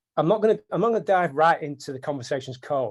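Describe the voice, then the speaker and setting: In a northern British accent, a man speaks at a fairly quick pace with ordinary pitch variation on a very clean recording with a silent background. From northern England. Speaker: software developer. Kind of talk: technical tutorial. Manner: repetitive, fillers.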